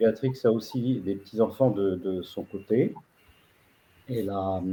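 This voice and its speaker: Very slowly, a man speaks at medium pitch in a dark, mellow tone. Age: 70s. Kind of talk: video-call presentation. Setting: video call. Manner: halting, many hesitations.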